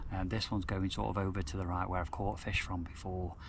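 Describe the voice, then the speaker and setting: Quiet and somewhat breathy, a man with a very deep, low pitch talks at a fairly quick pace amid audible room echo. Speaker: carp fishing vlogger. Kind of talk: casual vlog narration. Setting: outdoors at lake. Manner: quiet, lowered voice.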